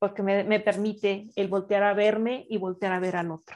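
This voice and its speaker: A fairly high-pitched woman with a Mexican accent against a quiet background. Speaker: radio show co-host. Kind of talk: casual spiritual radio talk.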